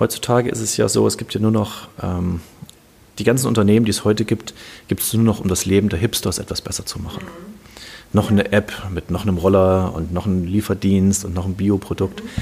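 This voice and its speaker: With an ordinary speaking voice, a man of fairly low pitch talks in a fairly even intonation. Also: fairly quick pace. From Germany, Kassel (northern Hesse). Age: 50s. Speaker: serial startup founder. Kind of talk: interview.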